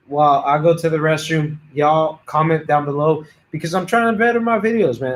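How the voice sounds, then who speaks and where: Here is a man with an unremarkable speaking voice and a fairly high pitch. He speaks at a fairly quick pace. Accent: American. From Houston, Texas. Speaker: auto mechanic YouTuber. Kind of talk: casual chat. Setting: livestream.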